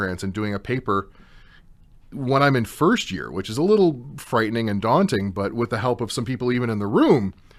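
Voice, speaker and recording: Against a quiet background, a man of medium pitch talks at a fairly quick pace in an unremarkable speaking voice. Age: 30s. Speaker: radio host and mature university student. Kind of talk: talk radio panel discussion. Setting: studio.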